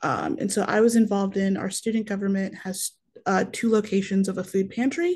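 With an American accent, a woman talks at a fairly quick pace. Her voice is somewhat breathy, with ordinary pitch variation. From northern Wisconsin suburbs. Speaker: university student and food pantry organizer; webinar panelist. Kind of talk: webinar panel discussion. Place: home room.

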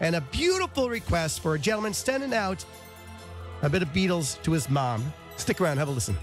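Clear music plays in the background of a dry recording with no echo. A man talks at a fairly quick pace with very even loudness and very wide pitch swings. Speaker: radio host. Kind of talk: radio host talk between songs. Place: studio.

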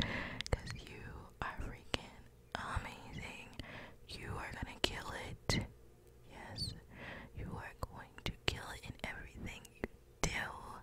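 The speaker is whispering at a very slow pace, with long, frequent pauses. Noticeable background noise runs underneath. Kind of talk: ASMR motivational whisper. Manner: upbeat, encouraging.

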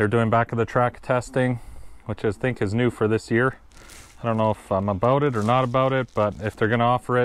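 The sound is dry, with no echo. A man speaks with fairly even intonation. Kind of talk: casual vlog chat. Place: street. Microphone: phone near.

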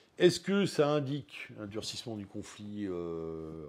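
A man is speaking. His pitch sits fairly low. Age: 50s. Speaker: teacher and web radio founder; teacher, radio founder. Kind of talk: interview. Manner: hesitant, many filler sounds. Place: home room. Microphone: lapel.

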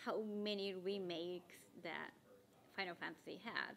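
Speaking with a Japanese accent, a woman keeps a fairly slow pace and fairly even intonation over light background noise. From Tokyo, Japan. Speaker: cosplayer. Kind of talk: interview answer. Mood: friendly, smiling, relaxed. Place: meeting room.

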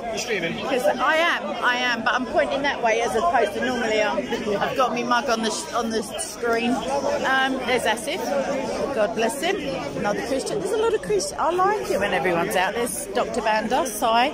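Over crowd noise in the background, the voice moves at a moderate pace in a dry sound with no echo. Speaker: livestreamer. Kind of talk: casual live commentary. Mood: jovial, chatty. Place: street. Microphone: phone near.

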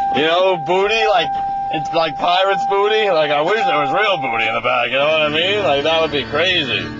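A man's voice comes through dry, with no echo, amid loud background noise. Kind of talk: casual vlog chat. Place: car. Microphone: phone near.

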